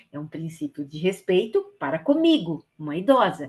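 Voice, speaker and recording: Somewhat breathy, the voice keeps to a moderate pace. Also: woman. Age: 60s. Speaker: volunteer trainer. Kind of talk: training lecture. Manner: hesitant, with fillers.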